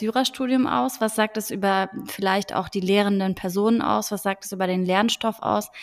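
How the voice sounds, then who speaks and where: With a plain, everyday voice, a woman speaks at a moderate pace and medium pitch with ordinary pitch variation, in a very clean recording with a silent background. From Frankfurt am Main, Germany. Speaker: podcast host, law graduate from media industry. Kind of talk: casual chat.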